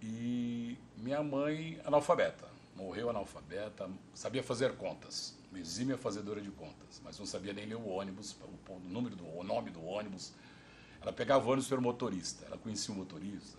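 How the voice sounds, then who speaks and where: Noticeable background noise sits behind a man with a fairly low pitch. He speaks at a fairly quick pace with ordinary pitch variation. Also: big swings in loudness. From interior of São Paulo state, Brazil (Ribeirão Preto). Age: 60s. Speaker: oral history interviewee. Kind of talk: oral history interview.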